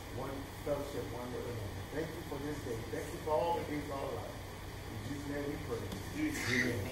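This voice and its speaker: Ordinary pitch variation at a fairly quick pace, with audible room echo and loud background noise. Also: man. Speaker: minister leading prayer. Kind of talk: prayer. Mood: reverent, earnest. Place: church. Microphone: camera far.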